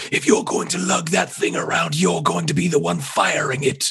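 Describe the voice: A man speaks in a put-on character voice with a raspy sound. His pace is moderate. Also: fairly high pitch for a man.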